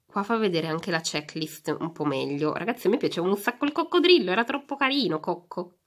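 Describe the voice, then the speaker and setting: Very fast speech from a woman with very wide pitch swings and hardly any pauses, over a quiet background. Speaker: YouTuber, toy unboxing; YouTuber. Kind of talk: casual unboxing vlog. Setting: home, behind the camera. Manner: animated. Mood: cheerful, chatty. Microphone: phone near.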